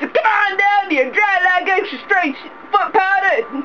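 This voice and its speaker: A woman with an extremely high pitch uses a raised, projected voice and lively intonation. She keeps a moderate pace against noticeable background noise. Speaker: voice actor. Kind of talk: mock commercial read. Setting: studio.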